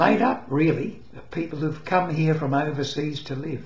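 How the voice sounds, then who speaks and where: A man talks in a fairly high voice. The room echo is audible. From England. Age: 80s+. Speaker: retiree. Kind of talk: casual talk to camera. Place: home room. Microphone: webcam.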